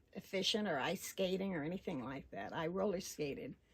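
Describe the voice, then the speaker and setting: Speaking at a moderate pace, a woman with a fairly low-pitched voice uses lively intonation and some vocal fry. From Arkansas. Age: 80s+. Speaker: local resident interviewee. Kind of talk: oral history interview. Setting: at home.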